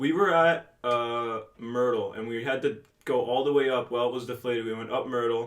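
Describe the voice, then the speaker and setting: The speaker uses a New Jersey accent, moving at a moderate pace with fairly even intonation. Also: man, medium pitch for a man. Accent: New Jersey American. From northern New Jersey, Bergen County. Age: 18. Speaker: podcast co-host. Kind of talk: casual chat.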